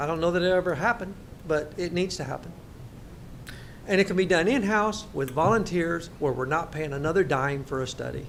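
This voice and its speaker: Loud speech at a fairly quick pace carries audible room echo. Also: man, high pitch for a man, ordinary pitch variation. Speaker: elected county official. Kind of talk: public budget meeting debate.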